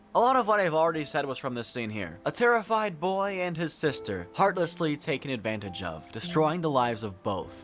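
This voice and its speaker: With music in the background, a man with a fairly high pitch speaks at a fairly quick pace and swings his pitch very widely. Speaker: anime youtuber and streamer. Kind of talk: reaction stream with replayed narration. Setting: livestream. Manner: scripted narration.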